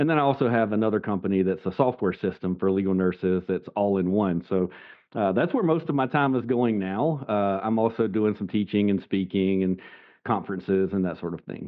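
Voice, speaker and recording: In a Southern US accent, a man talks at a fairly quick pace with a fairly low pitch and ordinary pitch variation. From US South, South Carolina. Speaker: legal nurse consultant. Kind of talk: podcast interview. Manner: casual, conversational.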